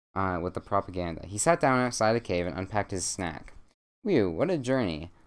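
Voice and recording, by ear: The text is read aloud in a natural voice while the background stays quiet.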